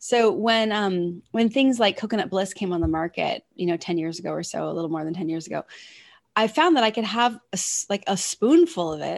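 A woman with a normal speaking voice talks at a moderate pace in a medium pitch with lively intonation. The background is quiet. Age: 40s. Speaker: wellness coach. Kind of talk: interview.

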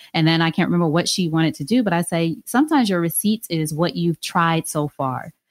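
Here is a woman with a normal speaking voice, fairly low in pitch. She talks at a fairly quick pace with ordinary pitch variation, in a dry, close sound with no echo. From New York, Long Island. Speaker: podcast host and author. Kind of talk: interview conversation.

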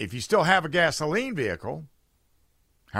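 A man's fairly quick voice, bright and sharp in tone with vocal fry, on a very clean recording with a silent background. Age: 80s+. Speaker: talk radio host. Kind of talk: talk radio commentary. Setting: studio.

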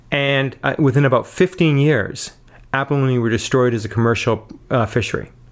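A normal speaking voice from a man, pitched in the middle range, at a moderate speed and with ordinary pitch variation. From north coast of British Columbia, Canada. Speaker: professor. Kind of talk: interview.

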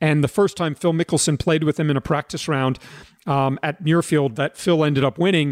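On a very clean recording with a silent background, a man speaks at a moderate pace. He has a normal speaking voice, fairly high in pitch, with ordinary pitch variation. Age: 50s. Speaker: golf instructor and podcast host. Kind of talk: casual interview.

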